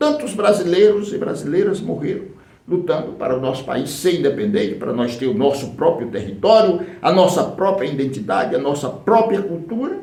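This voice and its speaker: There is audible room echo. A man talks at a moderate pace. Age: 60s. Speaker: political activist. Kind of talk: political speech.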